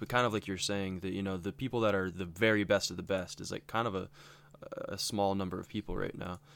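In a plain, everyday voice, a man speaks with a fairly low pitch and fairly even intonation on a very clean recording with a silent background. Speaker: co-host. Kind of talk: casual chat about a game.

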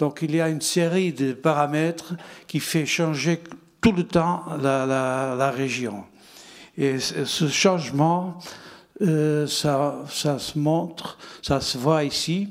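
On a very clean recording with a silent background, a man with a Portuguese accent and a fairly high voice speaks at a very slow pace with ordinary pitch variation and long, frequent pauses. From Portugal, Porto. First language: Portuguese (speaking French). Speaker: winegrower. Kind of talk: panel discussion.

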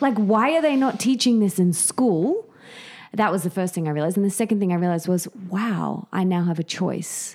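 The voice has lively intonation and an enthusiastic tone, with an Australian accent. The pace is fairly quick. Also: woman, medium pitch for a woman. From Australia, Sydney. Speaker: author and podcaster. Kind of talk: interview.

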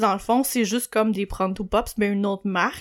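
Her pitch is fairly high, and it varies in an ordinary way as this woman talks. The background is silent on a very clean recording. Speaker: podcast co-host. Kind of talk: casual chat.

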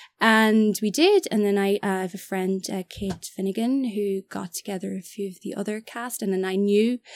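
A woman with an Irish accent at a fairly slow pace, dry and close with no echo, on a very clean recording with a silent background. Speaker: actor and film director. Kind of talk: casual chat. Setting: studio.

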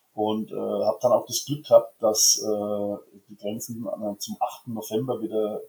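A man is speaking. His pace is moderate. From Franconia, Bavaria (near Schweinfurt). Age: 50s. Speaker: fan club board member and insurance broker. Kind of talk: casual interview. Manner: hesitant, many filler sounds.

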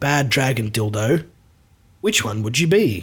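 A somewhat breathy man talks at medium pitch and a fairly slow pace. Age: 30s. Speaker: podcast host and band member. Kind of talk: comedic casual chat.

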